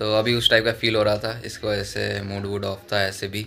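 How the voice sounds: The voice moves at a fairly quick pace with a bright, sharp tone, vocal fry, and little pitch movement. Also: man.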